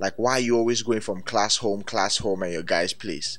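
With music in the background, a man speaks in a playful tone at a fairly low pitch. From Nigeria. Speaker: digital creator. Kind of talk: storytelling, acting out a scene. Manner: animated, vivid scene-painting; playful, fast-paced with laughs.

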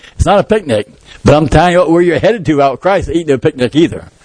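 Talking at a very fast pace, a man uses lively intonation amid noticeable background noise. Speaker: pastor. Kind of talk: sermon.

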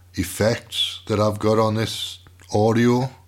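A man with a fairly low pitch talks at a very slow pace in a British accent. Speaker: podcaster and radio show host. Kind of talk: casual monologue. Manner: relaxed, rambling.

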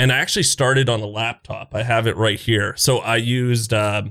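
An ordinary speaking voice with a Canadian accent moves at a moderate pace with fairly even intonation, on a very clean recording with a silent background. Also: man. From eastern Canada. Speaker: gaming content creator. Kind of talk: casual chat.

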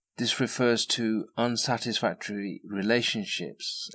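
In a very clean recording with a silent background, a man with an English accent speaks at a fairly low pitch. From England. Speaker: podcast host. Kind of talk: scripted narration. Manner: formal.

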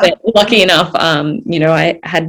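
A woman's fairly low voice in an Australian accent, at a moderate pace with ordinary pitch variation, over music in the background. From Australia, Gold Coast hinterland. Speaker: Olympic distance runner. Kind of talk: interview.

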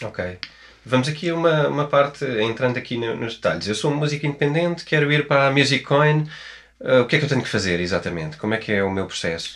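A man with a European Portuguese accent, very fast and lively in intonation. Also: fairly high pitch for a man. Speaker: podcast host and author. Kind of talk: podcast intro; interview.

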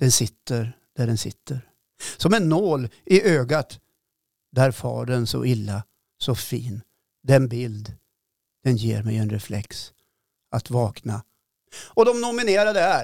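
A man speaks very slowly with lively intonation and long, frequent pauses. The sound is dry and close with no echo, very clean with a silent background. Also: medium pitch for a man. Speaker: podcast host. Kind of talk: casual chat. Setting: studio.

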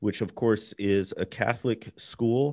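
An American-accented man with a plain, everyday voice, medium pitch, fairly even intonation and a fairly slow pace, over a quiet background. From US Midwest. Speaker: author. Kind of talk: interview conversation.

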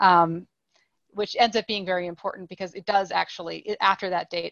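Fairly quick and fairly even in intonation, a woman talks in a normal speaking voice. Her pitch is fairly low. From Nova Scotia, Canada (Halifax). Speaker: historian. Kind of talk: interview.

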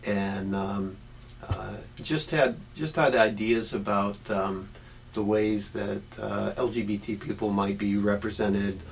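At a very slow pace, a man speaks with fairly low pitch and ordinary pitch variation. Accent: Midwestern US. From Ohio, Barberton near Akron. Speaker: deacon and professor. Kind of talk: interview.

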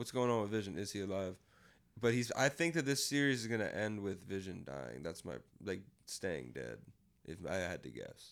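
This man's pitch swings very widely as he talks at a moderate pace, vocal fry audible in his voice. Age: 20s. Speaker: podcast co-host. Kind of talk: casual chat. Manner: animated.

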